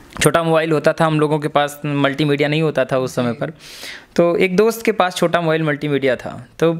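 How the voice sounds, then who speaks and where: A man with a fairly high pitch talks at a moderate pace against a quiet background. He has an unremarkable speaking voice. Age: young. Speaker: comic poet; interviewee. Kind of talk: interview. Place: home room. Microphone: handheld.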